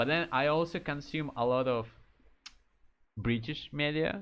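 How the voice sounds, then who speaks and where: Over music in the background, a man with a Russian accent speaks in an animated tone. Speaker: streamer. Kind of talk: casual chat. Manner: casual, animated.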